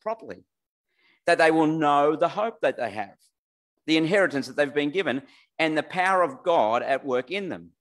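In a normal speaking voice, the speech carries lively intonation at a moderate pace. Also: man. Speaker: preacher. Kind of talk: sermon. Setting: church with online audience.

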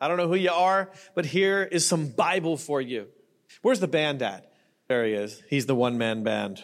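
A man's fairly high voice with very wide pitch swings and an animated tone, at a moderate pace, on a very clean recording with a silent background. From Canada. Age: 30s. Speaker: preacher. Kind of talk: sermon. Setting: church.

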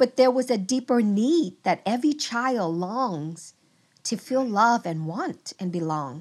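With a Vietnamese accent, a woman speaks at a very slow pace. Her pitch moves in very wide swings. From Vietnam, moved to US near age ten. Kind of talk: testimony.

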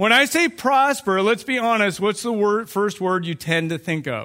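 A bright, sharp voice, raised and projected, moves at a fairly quick pace with ordinary pitch variation. The recording is very clean, with a silent background. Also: man. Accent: American. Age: 40s. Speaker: youth pastor. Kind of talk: sermon. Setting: church.

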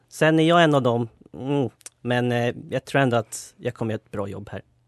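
A man speaks in an ordinary speaking voice at medium pitch and moderate pace with ordinary pitch variation, in a dry, close sound with no echo. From Sweden, Knivsta (Uppland). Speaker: student radio panelist. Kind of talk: casual chat.

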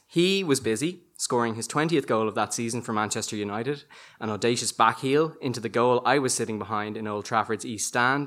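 A man speaks in a normal speaking voice at a medium pitch. He moves at a fairly quick pace with ordinary pitch variation. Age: 30s. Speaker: storyteller. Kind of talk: storytelling performance.

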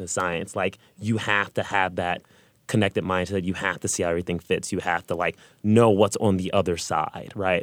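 A man speaks in a normal speaking voice with fairly even intonation. The recording is very clean, with a silent background. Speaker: high school math and computer science teacher. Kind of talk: panel discussion.

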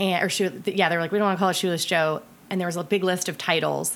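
Medium in pitch, a woman talks at a very fast pace with fairly even intonation. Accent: American. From US Midwest, Ohio. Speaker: film director. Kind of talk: casual chat.

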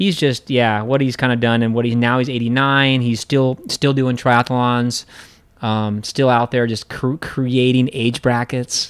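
A man with an American accent, fairly slow, monotone and flat, with very even loudness. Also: medium pitch for a man. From US, central Oregon (Bend). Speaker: endurance athlete and race organiser. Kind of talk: interview conversation. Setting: in person in Hong Kong.

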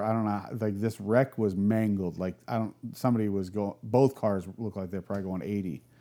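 A man's unremarkable speaking voice, fairly low in pitch, with fairly even intonation at a fairly quick pace, on a very clean recording with a silent background. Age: 40s. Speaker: artist, chopper builder and real estate agent. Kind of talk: casual chat. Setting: in person at his place.

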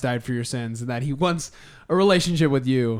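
In an American accent, a plain, everyday voice shows ordinary pitch variation on a very clean recording with a silent background. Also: man. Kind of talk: casual chat.

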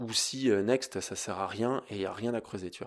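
In an unremarkable speaking voice, a man talks at medium pitch with ordinary pitch variation. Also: very clean recording, silent background. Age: 30s. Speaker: yoga teacher and podcast host. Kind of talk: casual monologue. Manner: conversational.

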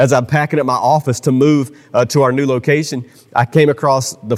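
An ordinary speaking voice from a man, medium in pitch, fairly quick, with fairly even intonation. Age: 40s. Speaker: pastor. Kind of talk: sermon. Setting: church.

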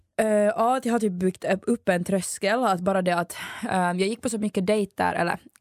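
A woman speaks at a medium pitch with ordinary pitch variation. The recording is very clean and dry, with a silent background and a close sound with no echo. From Finland, Ekenäs. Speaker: student radio host. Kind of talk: casual chat.

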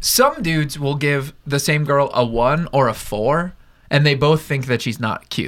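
A man with an ordinary speaking voice and a fairly high pitch talks at a fairly slow pace. Pitch variation is ordinary, in a very clean recording with a silent background. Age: 20s. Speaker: podcast co-host. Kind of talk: casual chat.

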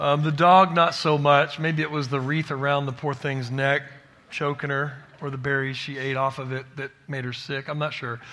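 Bright and sharp in tone, a man with a Texan accent and a fairly high pitch speaks at a moderate pace. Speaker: pastor and church planter. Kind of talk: sermon. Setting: church. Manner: animated.

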